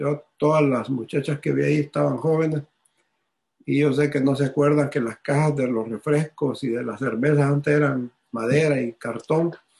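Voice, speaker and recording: A somewhat breathy, fairly high-pitched male voice at a moderate pace. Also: fairly even intonation. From Honduras. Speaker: businessman and ministry regional director. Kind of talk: testimony.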